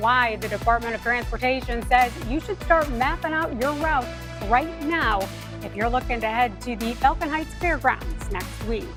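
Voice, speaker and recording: Music plays in the background. A woman with an American accent speaks at a moderate pace. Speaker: TV news anchor and reporter. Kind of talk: local TV news anchoring and reporting. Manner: polished, newsreader delivery.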